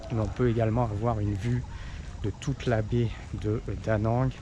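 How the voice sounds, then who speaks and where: This is a man speaking. His pitch sits fairly low. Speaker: travel vlogger. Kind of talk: travel vlog narration. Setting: outdoors at a tourist site. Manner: soft-spoken; hesitant, many fillers.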